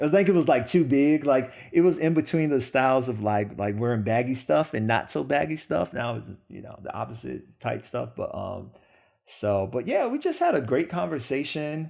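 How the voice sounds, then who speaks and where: With an American accent, a man speaks at a medium pitch and moderate pace, his intonation lively and his loudness swinging widely. The recording is very clean, with a silent background. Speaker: podcast guest. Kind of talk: interview. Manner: halting.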